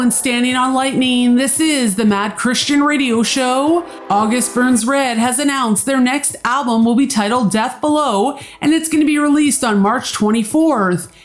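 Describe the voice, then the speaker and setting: A woman's high, upbeat voice at a moderate pace, with very even loudness and hardly any pauses, over noticeable background noise. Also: ordinary pitch variation. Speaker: radio host. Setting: radio studio. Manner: upbeat, polished, sincere; brisk, promo-style delivery with music cues.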